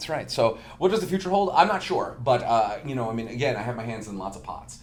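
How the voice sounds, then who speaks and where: Amid noticeable background noise, a man with an American accent talks at a very fast pace at medium pitch, with very wide pitch swings and big swings in loudness. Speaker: marketing manager, musician. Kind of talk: casual chat.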